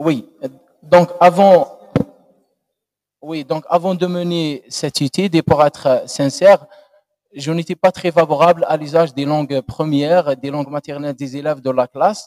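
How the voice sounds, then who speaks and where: A man with an Algerian accent, fairly slow pace, and long, frequent pauses. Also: fairly high pitch for a man. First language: Algerian Arabic (speaking French). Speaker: doctoral candidate. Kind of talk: thesis defense answer. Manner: halting.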